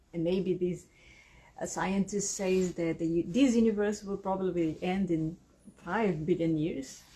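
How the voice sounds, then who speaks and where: With a Brazilian Portuguese accent, a woman speaks at a fairly slow pace. Her medium-pitched voice keeps a fairly even intonation. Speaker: spiritual channel and energy healer. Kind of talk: monologue to camera. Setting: video to camera. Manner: halting, searching for words.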